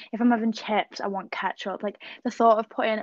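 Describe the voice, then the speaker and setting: A woman with a fairly high pitch speaks at a moderate pace in a monotone, flat intonation. The sound is dry and close, with no echo. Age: 20s. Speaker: podcast co-host. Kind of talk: casual chat.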